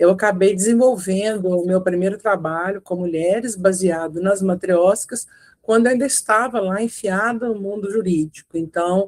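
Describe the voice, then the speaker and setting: Speaking at a moderate pace with a Minas Gerais accent, this voice barely pauses and keeps its intonation fairly even. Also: woman, medium pitch for a woman. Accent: mineiro Brazilian Portuguese. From Brazil, Minas Gerais (Belo Horizonte). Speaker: retired lawyer and women's circle facilitator. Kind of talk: interview. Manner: hesitant, many fillers.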